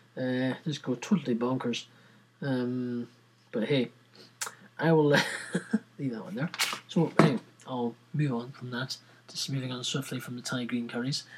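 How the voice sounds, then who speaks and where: Against noticeable background noise, a man with a Scottish accent speaks at a medium pitch and a fairly slow pace, with ordinary pitch variation and long, frequent pauses. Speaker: podcast host. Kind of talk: casual, informal. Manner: rambling, chatty.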